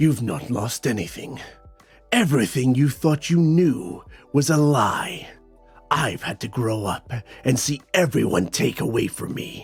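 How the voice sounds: Faint music plays behind a man using a guttural put-on character voice at a medium pitch and a moderate pace.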